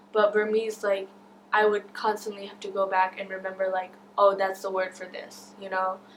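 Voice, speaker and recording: Over noticeable background noise, a woman with an American accent talks at a moderate pace in a monotone, flat intonation. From West Michigan, US. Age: young. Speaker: Burmese-American community member, store owner. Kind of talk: interview testimony. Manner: casual, frequent fillers.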